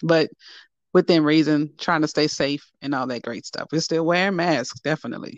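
A woman's very deep, low voice at a moderate pace, fairly even in intonation, with a dry, close sound and no echo. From New Orleans, Louisiana. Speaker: poet and preacher. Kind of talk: interview.

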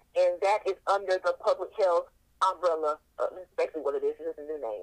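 A woman with an American accent, the sound dry and close with no echo. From US South, North Carolina. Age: 30s. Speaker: sex blogger. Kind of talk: interview. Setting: phone call.

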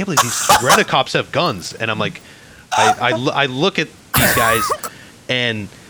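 A medium-pitched man in a Chicago accent, lively intonation, moderate pace, long and frequent pauses, and noticeable background noise. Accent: Chicago American. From Chicago, US Midwest. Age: 20s. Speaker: podcast guest. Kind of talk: casual chat.

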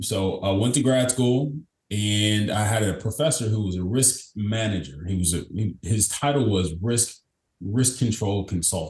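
The speech unfolds at a fairly slow pace in a somewhat breathy voice. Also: man, fairly low pitch for a man, ordinary pitch variation. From Kentucky, small town. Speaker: business consultant. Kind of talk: interview conversation. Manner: energetic, upbeat.

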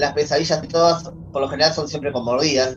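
A fairly high-pitched man with a Rioplatense accent, music playing behind him. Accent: Argentine Rioplatense Spanish. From Argentina. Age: 40s. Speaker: horror fiction writer. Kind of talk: casual interview chat.

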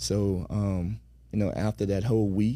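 A man's fairly low voice, dark and mellow in tone, moves through very wide pitch swings. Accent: American. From US South, Florida Panhandle. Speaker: entrepreneur and former pro basketball player. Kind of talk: casual interview. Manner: hesitant, many fillers.

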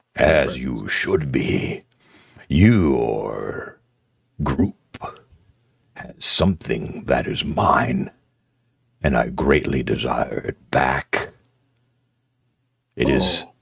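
A raspy, gravelly put-on character voice from a man, very deep and low, very slow, with long, frequent pauses. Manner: menacing, imperious.

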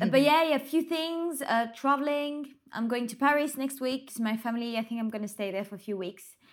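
Speaking at a fairly quick pace with hardly any pauses, a woman with a French accent uses a high pitch. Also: ordinary pitch variation. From France. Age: 20s. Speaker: reality TV star. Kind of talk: casual chat. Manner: halting.

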